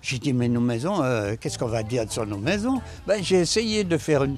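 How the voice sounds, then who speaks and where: Very wide pitch swings from a man at a moderate pace, with noticeable background noise. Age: 80s+. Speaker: elderly local resident. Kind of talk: interview. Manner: halting, repetitive.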